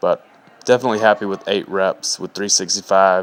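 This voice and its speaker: A plain, everyday voice speaks at a moderate pace with fairly even intonation, the sound dry and close with no echo. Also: man. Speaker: fitness vlogger and personal trainer. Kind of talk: video voiceover narration. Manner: casual.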